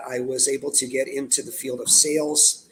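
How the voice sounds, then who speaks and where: Music plays in the background. A man is speaking. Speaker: webinar panelist. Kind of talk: testimony.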